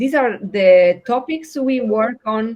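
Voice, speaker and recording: A woman speaks with an Italian accent against a quiet background. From southern Italy, Puglia (Otranto). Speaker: education researcher, pedagogist. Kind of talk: online project meeting presentation. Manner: hesitant, many fillers.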